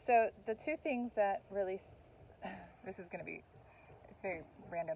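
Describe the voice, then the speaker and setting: With a normal speaking voice, a woman talks at a moderate pace and medium pitch, her intonation lively and her loudness swinging widely. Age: middle-aged. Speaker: podcast co-host. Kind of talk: casual chat.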